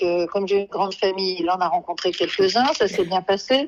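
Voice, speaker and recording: Her intonation fairly even, a woman speaks at a medium pitch. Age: 70s. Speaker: agency client giving testimonial. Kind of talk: testimony.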